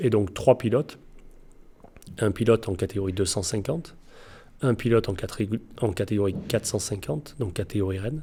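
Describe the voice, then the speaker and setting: A man talks fairly quickly at a fairly low pitch, his tone dark, mellow and somewhat breathy. The recording is very clean with a silent background, and his pitch varies in an ordinary way. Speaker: motocross coach and ultra-distance cyclist. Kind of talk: interview answer. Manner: precise wording.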